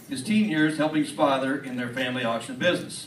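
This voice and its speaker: Fairly quick speech from a man, with noticeable background noise behind him. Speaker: auction association member presenting an induction award. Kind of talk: award presentation speech reading a biography. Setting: live event in front of an audience.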